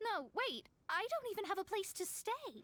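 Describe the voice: Using a put-on character voice, a woman speaks at an extremely high pitch with big pitch swings, a fairly bright tone and a moderate pace.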